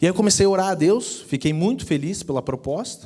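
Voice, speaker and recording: With a Curitiba accent, a man speaks at a moderate pace in a dark, mellow tone with lively intonation. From Brazil, Curitiba. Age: 30s. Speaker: personal finance speaker. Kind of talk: sermon-style talk. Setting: church.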